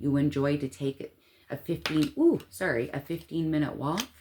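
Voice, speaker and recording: A woman talks with vocal fry. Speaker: tarot reader. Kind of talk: tarot reading to camera. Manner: animated.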